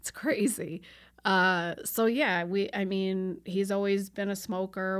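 With an American accent, a woman uses an ordinary speaking voice at medium pitch and a fairly slow pace, on a very clean recording with a silent background. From New York. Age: 40s. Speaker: small business owner. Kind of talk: casual chat.

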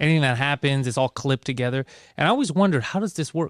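With a Greek accent, a man speaks at a very fast pace with lively intonation, in a dry, close recording with no echo that is very clean and has a silent background. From Greece. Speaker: comedian. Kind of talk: casual chat.

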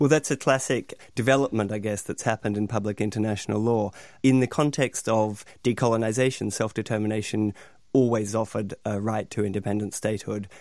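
At a fairly quick pace, a man speaks in an Australian accent with a fairly low pitch. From Australia, Melbourne. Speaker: academic lecturer. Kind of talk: radio panel discussion.

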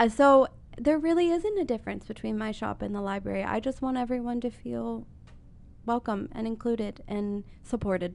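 A woman with an American accent talks in a fairly high voice. She keeps a moderate pace. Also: ordinary pitch variation. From Columbus, Ohio, US. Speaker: bookshop owner. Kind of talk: interview. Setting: studio. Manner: hesitant, many fillers.

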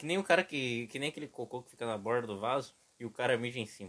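This man's intonation is lively. He talks very fast. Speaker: podcast co-host. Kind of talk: casual chat.

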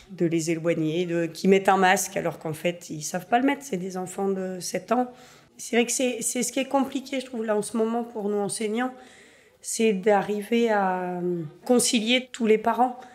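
A woman's normal speaking voice at medium pitch, fairly slow in pace, with ordinary pitch variation. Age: 40s. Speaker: primary school teacher. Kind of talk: documentary interview testimony.

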